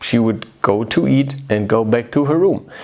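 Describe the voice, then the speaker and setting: A man with a non-native accent speaks at medium pitch with lively intonation. His tone is warm, dark and mellow. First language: not English. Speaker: video host. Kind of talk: casual direct-to-camera talk. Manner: warm, conversational.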